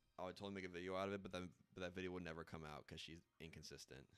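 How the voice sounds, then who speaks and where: A man rattles along at a very fast pace with a very deep, low pitch. Vocal fry runs through his voice. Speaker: video game streamer. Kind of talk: casual live stream chat. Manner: loud.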